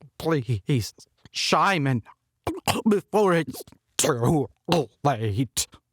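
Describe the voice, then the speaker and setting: In a raspy, put-on character voice, a man speaks at a very slow pace with long, frequent pauses, his fairly high pitch making very wide swings. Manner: gentle, pleading.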